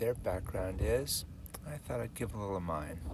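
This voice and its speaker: A man with an American accent and a fairly low pitch, plus audible room echo and noticeable background noise. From California. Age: 70s. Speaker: long-distance hiker, vlogger. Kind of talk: casual personal narrative to camera. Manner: halting, many fillers.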